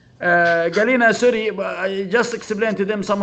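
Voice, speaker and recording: A man talks with ordinary pitch variation. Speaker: software trainer. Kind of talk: tutorial. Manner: halting.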